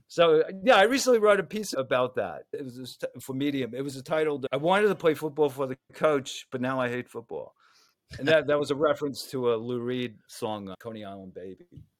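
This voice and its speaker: A man with an American accent and a plain, everyday voice speaks at a fairly quick pace, his fairly high pitch carrying lively intonation. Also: big swings in loudness. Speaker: journalist and author. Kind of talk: interview.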